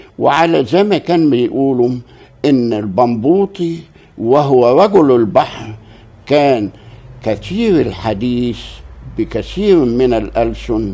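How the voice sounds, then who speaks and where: Speaking very slowly at medium pitch, a man keeps a very even loudness, his dark, mellow tone carried by lively intonation. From Egypt, Port Said. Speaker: local historian. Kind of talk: interview. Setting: at home.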